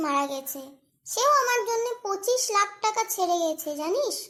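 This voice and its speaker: The voice is a cartoonish character voice, extremely high and squeaky. It has a whiny tone. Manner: whiny, aggrieved.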